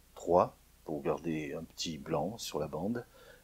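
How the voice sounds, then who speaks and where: Speaking at a very slow pace, a man shows vocal fry and lively intonation. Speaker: audio recording tutorial maker. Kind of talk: tutorial. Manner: hesitant, many filler sounds. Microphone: recorder mic on stand close to mouth.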